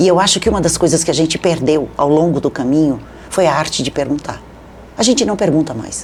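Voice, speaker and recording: Pitch moves in an ordinary way while the delivery runs at a fairly quick pace. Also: woman, very deep, low pitch for a woman. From southern Brazil (Rio Grande do Sul). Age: 60s. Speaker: journalist and media consultant. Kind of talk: interview.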